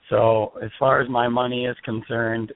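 A man of medium pitch talks over noticeable background noise. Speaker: fantasy football analyst. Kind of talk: podcast debate argument.

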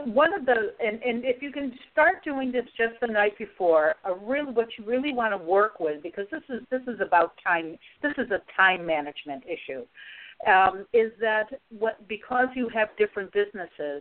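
In an American accent, a woman with a normal speaking voice talks at a fairly high pitch. Her pace is moderate and her intonation lively. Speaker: resilience coach and author. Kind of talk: radio interview.

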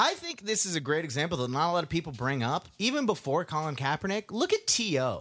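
A man speaks at a very fast pace with a high pitch. His tone is bright and sharp. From US South. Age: 20s. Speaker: podcast co-host. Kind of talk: casual chat. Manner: animated.

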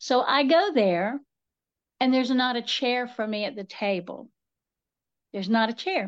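Against a quiet background, a woman with an Appalachian accent speaks at a moderate pace in a fairly high voice with ordinary pitch variation. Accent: Appalachian Southern US. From US South, western North Carolina. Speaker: author and folklorist. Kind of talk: casual interview chat.

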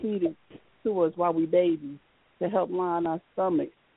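A woman's fairly low voice with a warm tone, fairly even intonation and a fairly slow pace. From US South, Florida (St. Augustine). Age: 40s. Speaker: conjure elder. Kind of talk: elder telling her family's rootwork childhood stories, earthy and profane. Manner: loose, rambling storytelling with laughs and cussing; warm, emphatic and conversational.

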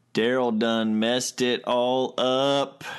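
A man puts on a character voice in a Southern US accent. He speaks very slowly at medium pitch. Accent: Southern American. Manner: exaggerated, emphatic.

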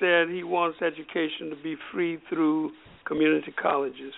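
Over noticeable background noise, a man speaks at a high pitch and a moderate pace. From US South, Alabama. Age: 70s. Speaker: former state senator. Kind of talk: radio talk show interview. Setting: phone call.

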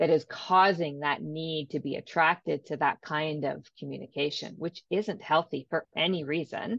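A woman with a Canadian accent speaks in a very deep, low pitch. Her tone is enthusiastic and her pace moderate. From Ontario, Canada. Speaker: life coach. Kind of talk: interview, coaching advice.

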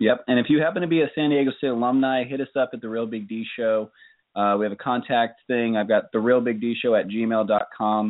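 This man has a plain, everyday voice at a medium pitch. His intonation stays fairly even. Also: fairly quick pace. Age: 30s. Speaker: podcast co-host. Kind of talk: casual chat.

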